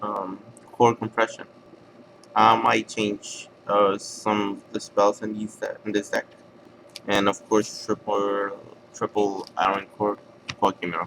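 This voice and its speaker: Speaking at a very slow pace with long, frequent pauses, a man talks in a non-native accent. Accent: foreign. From outside the US. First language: not English. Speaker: card game player. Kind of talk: deck profile tutorial. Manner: halting, many fillers.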